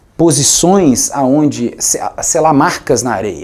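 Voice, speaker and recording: Fairly slow speech from a man with a fairly high pitch and ordinary pitch variation. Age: 30s. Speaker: music producer; speaker. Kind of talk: talk to an audience. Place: studio. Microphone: lapel.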